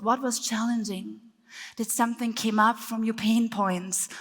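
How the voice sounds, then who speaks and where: With a German accent, a woman talks at a moderate pace in a fairly high pitch and monotone, flat intonation. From Germany. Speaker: speaker and breathwork teacher. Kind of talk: workshop talk.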